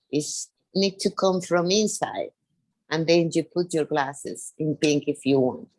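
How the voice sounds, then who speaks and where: In a Spanish accent, a woman with a fairly low pitch and ordinary pitch variation speaks in a dry, close sound with no echo. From Venezuela. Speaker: podcast guest. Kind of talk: casual chat. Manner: halting.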